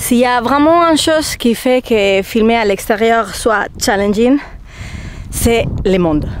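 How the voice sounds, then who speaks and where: With a Spanish accent and a fairly high pitch, a woman speaks very slowly with lively intonation and very even loudness over noticeable background noise. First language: Spanish (speaking French). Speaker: travel vlogger. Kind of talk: vlog talking to camera. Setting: outdoors.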